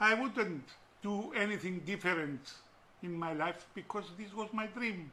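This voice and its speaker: Raising and projecting his voice, a man talks fairly slowly at a high pitch with ordinary pitch variation. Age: 70s. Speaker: retired businessman. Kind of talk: interview.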